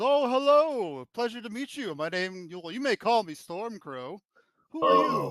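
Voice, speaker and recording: Using a put-on character voice, a man speaks at a high pitch and a moderate pace in a raised, projected voice. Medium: actual play. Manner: cheerful, welcoming.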